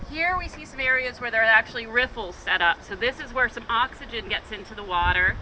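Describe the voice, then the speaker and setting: Noticeable background noise sits behind a woman talking at a very fast pace with lively intonation. Her fairly high voice shows big swings in loudness. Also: hardly any pauses. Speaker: river tour guide. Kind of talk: guided tour talk outdoors.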